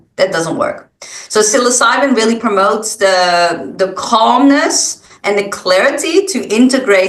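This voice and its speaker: A woman talks with lively intonation as noticeable background noise runs behind her. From Netherlands. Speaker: wellness guide. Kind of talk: interview.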